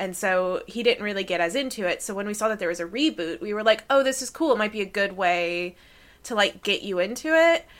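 Over a very clean recording with a silent background, a woman with an American accent uses a normal speaking voice at medium pitch, talking at a fairly quick pace with lively intonation. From United States. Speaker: academic and podcast co-host. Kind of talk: casual chat.

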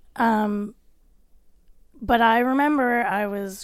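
A woman's fairly high-pitched, plain, everyday voice with a Canadian accent and fairly even intonation, on a very clean recording with a silent background. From Canada, Nova Scotia (Cole Harbour). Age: 30s. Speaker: podcast guest. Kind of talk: casual chat.

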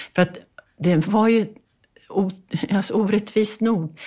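On a very clean recording with a silent background, a woman speaks in a dark, mellow tone that is somewhat breathy. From Sweden, Bergslagen. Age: 80s+. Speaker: author. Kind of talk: interview.

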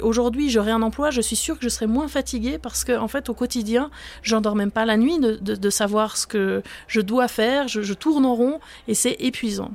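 With an ordinary speaking voice, a woman talks at a fairly quick pace in a fairly high pitch with ordinary pitch variation. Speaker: professor of social policy. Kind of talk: expert interview.

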